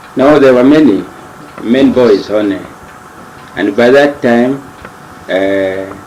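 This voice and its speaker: The speech comes at a very slow pace with long, frequent pauses and ordinary pitch variation, over noticeable background noise and audible room echo. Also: man, medium pitch for a man. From Zambia, Kasempa district (North-Western Province). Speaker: retired medical worker. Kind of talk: interview. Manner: halting.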